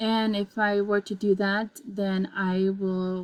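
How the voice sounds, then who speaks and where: At a very slow pace, a woman with a non-native accent speaks at medium pitch in a monotone, flat intonation. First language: not English. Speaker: student giving a presentation. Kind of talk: class presentation demonstration. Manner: halting, many fillers.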